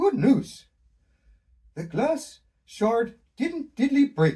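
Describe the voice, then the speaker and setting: Someone uses a put-on character voice, fairly high in pitch and very slow. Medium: read story. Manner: quirky, says "diddly".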